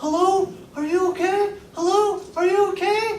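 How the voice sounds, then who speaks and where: An extremely high, squeaky put-on character voice at a moderate pace, with clear background noise and a slight echo. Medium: stage play. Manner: urgent, excitable.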